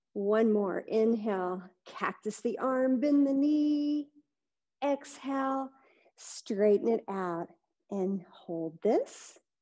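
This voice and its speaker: A woman speaks in a calm, gentle, dark and mellow tone with lively intonation over a quiet background. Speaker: yoga instructor. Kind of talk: live-streamed guided yoga class instruction. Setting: online live stream, video class. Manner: calm, gentle, soothing, unhurried cueing; warm, friendly, encouraging. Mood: calm, gentle guiding. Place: gym.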